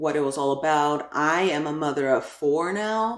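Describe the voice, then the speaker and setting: A woman speaks with a Spanish accent in a very deep, low pitch. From New York (Brooklyn), Ecuadorian family. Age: adult. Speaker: YouTuber, crafts and parenting. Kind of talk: channel introduction vlog. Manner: casual, filler-heavy (like, um); talkative.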